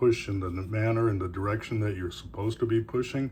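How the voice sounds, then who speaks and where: Somewhat breathy and relaxed in tone, a man speaks with fairly even intonation. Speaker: knifemaker and carver. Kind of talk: casual show-and-tell talk. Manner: relaxed, with fillers.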